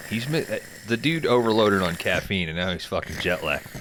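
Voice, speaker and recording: Talking at a moderate pace, a man with a plain, everyday voice uses a medium pitch and lively intonation. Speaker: podcast host. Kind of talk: comedy podcast sketch. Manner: casual, crude.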